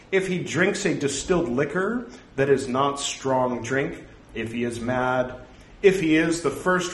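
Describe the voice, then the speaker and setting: Over noticeable background noise and audible room echo, a man with a fairly high pitch speaks very slowly with lively intonation. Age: 40s. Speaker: podcaster reciting Buddhist scripture. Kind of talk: reading aloud. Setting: home recording, no studio.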